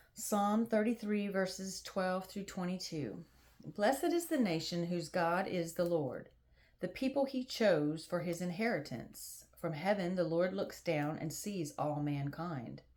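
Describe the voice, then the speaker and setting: A woman's medium-pitched voice, lively in intonation, at a fairly slow pace. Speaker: Bible reading channel host. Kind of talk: reading aloud. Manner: soft-spoken.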